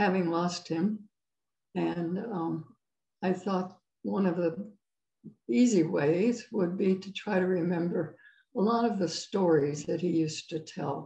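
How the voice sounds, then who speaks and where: Against a quiet background with audible room echo, a woman speaks at a very slow pace in a dark, mellow tone, somewhat breathy, with ordinary pitch variation. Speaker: guest. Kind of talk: interview answer. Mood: reflective, calm. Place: home room. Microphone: video call.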